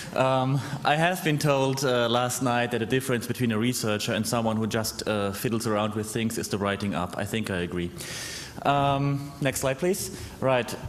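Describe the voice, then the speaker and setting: At a moderate pace, a man speaks with ordinary pitch variation over light background noise. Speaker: researcher; conference presenter. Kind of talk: conference talk. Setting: stage with audience. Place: hall.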